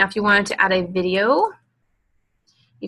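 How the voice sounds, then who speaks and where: A woman speaks in a bright, sharp tone. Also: quiet background. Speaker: direct sales team leader. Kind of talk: tutorial. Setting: online webinar with screen share. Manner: casual with many fillers.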